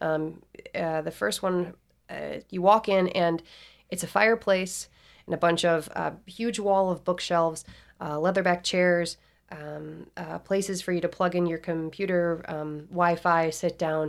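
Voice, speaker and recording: A normal speaking voice with fairly even intonation. It moves at a fairly slow pace in a very clean recording with a silent background. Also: woman, fairly low pitch for a woman. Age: 30s. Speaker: singer-songwriter and restaurant owner. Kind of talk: casual interview.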